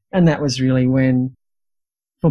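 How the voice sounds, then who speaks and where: A woman speaks with an Australian accent in a very deep, low voice. The background is quiet. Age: 60s. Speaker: midwife and teacher. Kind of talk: interview.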